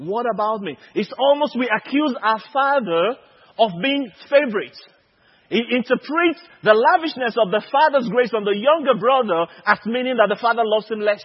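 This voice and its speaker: Ordinary pitch variation at a moderate pace. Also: man, extremely high pitch for a man. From Nigeria. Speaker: preacher. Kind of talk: sermon. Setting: conference stage with audience.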